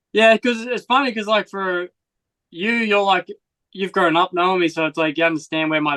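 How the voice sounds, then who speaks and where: A man with an American accent and a bright, sharp tone, at a fairly quick pace, with a dry, close sound with no echo and a quiet background. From Australia, rural northern Victoria. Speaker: motocross rider. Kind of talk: casual chat. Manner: animated.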